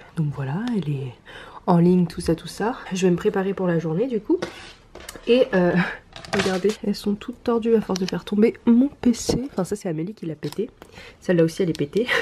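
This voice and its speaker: Over light background noise, a woman speaks with lively intonation and long, frequent pauses. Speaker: beauty and lifestyle vlogger. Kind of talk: casual vlog talk to camera. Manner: slow. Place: home room. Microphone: phone near.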